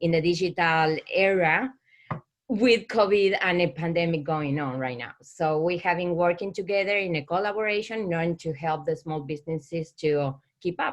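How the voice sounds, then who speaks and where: A woman with an Argentine accent speaks at a moderate pace in a fairly low pitch, with ordinary pitch variation. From Argentina. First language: Spanish. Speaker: small business owner. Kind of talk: business pitch. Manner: halting.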